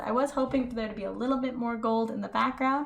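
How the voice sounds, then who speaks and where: Audible echo fills the room along with noticeable background noise. A woman is talking. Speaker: painting tutorial youtuber. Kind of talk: painting tutorial. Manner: soft-spoken.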